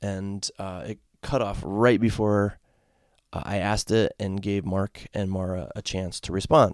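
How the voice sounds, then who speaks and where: A man speaks with an American accent at a fairly slow pace and fairly even intonation. The recording is very clean, with a silent background and a dry, close sound with no echo. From Connecticut, US. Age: 40s. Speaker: podcast host, sports fan. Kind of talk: solo podcast commentary. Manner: casual, halting with repetitions.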